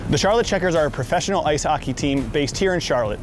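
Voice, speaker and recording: A man speaks in an upbeat tone. Music plays in the background. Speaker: hype man and event host. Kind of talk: travel show hosting to camera.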